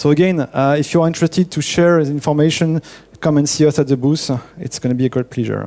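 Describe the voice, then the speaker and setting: With a French accent, a man talks very fast in a fairly high voice with fairly even intonation. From France. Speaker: network engineer presenting at a conference. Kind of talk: conference talk.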